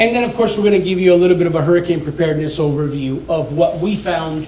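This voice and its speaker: Loud, high male voice amid noticeable background noise and audible room echo. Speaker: building inspection executive. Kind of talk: presentation to a community meeting. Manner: casual, energetic.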